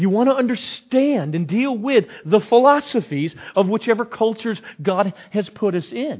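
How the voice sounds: A man's high-pitched voice with a slightly husky edge, big pitch swings, and a fairly slow pace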